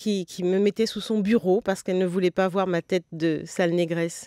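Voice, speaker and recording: A quiet background and a dry sound with no echo. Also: woman. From Guadeloupean family, grew up in Paris region. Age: 60s. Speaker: novelist; guest. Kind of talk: interview. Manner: hesitant, many fillers. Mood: calm, reflective. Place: studio.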